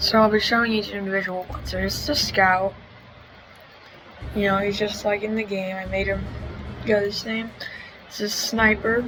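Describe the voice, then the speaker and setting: A woman speaks quietly in a monotone, flat intonation, with long, frequent pauses. There is audible room echo and music in the background. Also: medium pitch for a woman, moderate pace. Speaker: gaming YouTuber. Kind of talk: gameplay commentary. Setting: at a family member's house. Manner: hesitant, many fillers.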